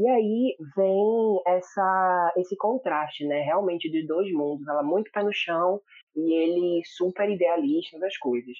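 This man's high-pitched voice moves at a fairly slow pace with very even loudness and ordinary pitch variation. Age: 20s. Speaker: drama reviewer, social media page owner. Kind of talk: casual chat.

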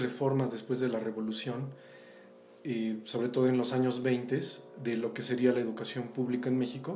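A man's dark, mellow tone at a moderate pace, with audible room echo. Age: 40s. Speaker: visual artist and former art professor. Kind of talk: casual interview conversation.

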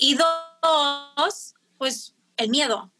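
Raised and projected, a woman's high-pitched voice has a bright, sharp tone and ordinary pitch variation. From Mexico, Tijuana. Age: 20s. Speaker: teacher. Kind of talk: casual chat.

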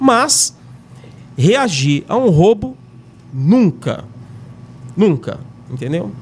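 Over noticeable background noise, the speaker talks at a very slow pace with very wide pitch swings and long, frequent pauses. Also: man, fairly high pitch for a man. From São Paulo, Brazil. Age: 50s. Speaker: retired military police corporal. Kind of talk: casual chat. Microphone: too far from the mic.

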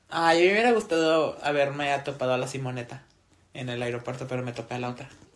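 A man talks at a very fast pace in a fairly high voice with ordinary pitch variation. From northern Mexico. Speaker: podcast co-host. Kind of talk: casual chat. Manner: animated.

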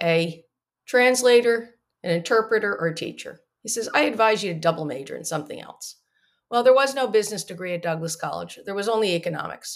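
A woman's unremarkable speaking voice with an American accent, medium in pitch, lively in intonation and fairly quick in pace. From US Northeast, New Jersey. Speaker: economist, company founder. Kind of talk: interview. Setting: video call.

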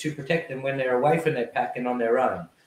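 This man's voice has a medium pitch. There is a somewhat breathy quality to it. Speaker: dog behaviourist, podcast guest. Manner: fast talker; energetic, hyperactive.

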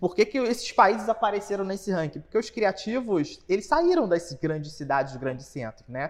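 Hardly pausing at all, the talk proceeds at a middling tempo. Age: 30s. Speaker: podcast co-host, creative business partner. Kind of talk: casual chat.

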